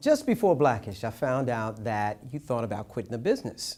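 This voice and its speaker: Intonation is lively as a man with an unremarkable speaking voice keeps a moderate pace. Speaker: entertainment and news reporter. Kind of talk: TV news narration.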